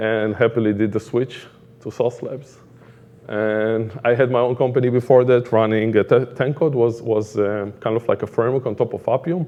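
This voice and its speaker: A man with an Israeli accent at medium pitch, at a fairly quick pace. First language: Hebrew. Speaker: product manager. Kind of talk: conference talk.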